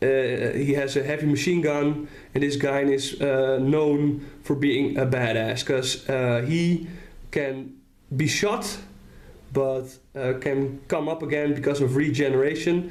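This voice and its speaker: A man with a Dutch accent talks at a fairly slow pace, his pitch fairly high. His loudness stays very even throughout. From Netherlands. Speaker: tabletop wargame hobbyist. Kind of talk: casual talk to camera. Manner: hesitant, many fillers.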